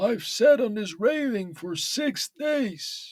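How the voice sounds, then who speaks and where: A man speaks in a put-on character voice pitched extremely high, with lively intonation. His delivery is very slow. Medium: read story. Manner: trembling, pleading.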